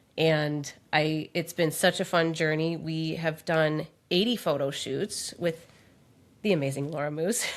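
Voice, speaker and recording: A woman in an Upper Midwest accent at a fairly slow pace, in a very clean recording with a silent background. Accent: Upper Midwest American. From Minnesota, Twin Cities. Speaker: podcast co-host and author. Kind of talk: casual chat.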